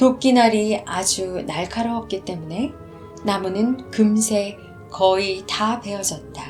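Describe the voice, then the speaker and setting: The pace of speech is very slow. Music runs underneath it. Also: woman. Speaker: audiobook narrator. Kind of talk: story narration.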